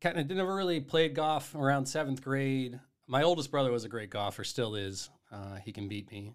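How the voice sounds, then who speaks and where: A man with an American accent speaks at a fairly quick pace. He has a normal speaking voice at a medium pitch. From Massachusetts (Duxbury, South Shore). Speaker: head golf professional. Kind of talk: casual chat.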